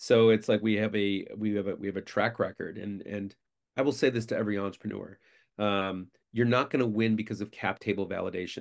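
Over a quiet background, a man with an American accent talks at a fairly quick pace. His pitch is fairly low and his intonation fairly even. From Syracuse, New York. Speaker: investor and agency founder. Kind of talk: casual interview. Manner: fast talker.

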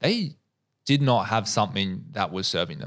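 This man's pitch is medium. There is a very clean recording and a silent background. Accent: Australian. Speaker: podcaster and gym owner. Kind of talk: casual interview chat.

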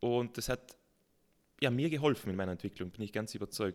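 This man speaks at a very fast pace. His pitch is medium. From South Tyrol. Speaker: mountaineer and mountain farmer. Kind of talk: casual interview.

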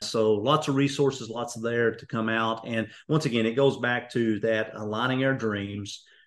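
Over a quiet background, a man with an Appalachian accent speaks at a moderate pace in a medium pitch, with hardly any pauses. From eastern Kentucky. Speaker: executive coach and speaker. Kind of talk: interview.

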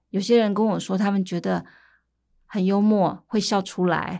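A woman's medium-pitched voice, a plain, everyday voice at a moderate pace, on a very clean recording with a silent background. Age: 50s. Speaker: medical anthropologist. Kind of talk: interview conversation.

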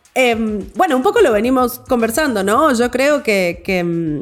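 A woman talks at a moderate pace with lively intonation. Hers is an unremarkable speaking voice. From Argentina. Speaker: board game podcast guest. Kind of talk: casual chat.

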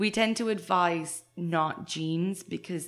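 A woman with an Irish accent, fairly low pitch and fairly even intonation, in a very clean recording with a silent background. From western Ireland, near Galway. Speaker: equestrian centre instructor. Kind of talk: interview.

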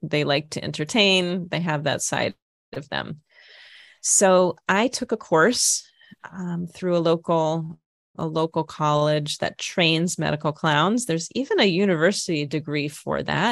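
In an Upper Midwest accent, a woman speaks fairly slowly at a fairly low pitch with ordinary pitch variation, the sound dry and close with no echo and the background quiet. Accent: Upper Midwest American. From Minnesota. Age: 50s. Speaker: comedian. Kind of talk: interview.

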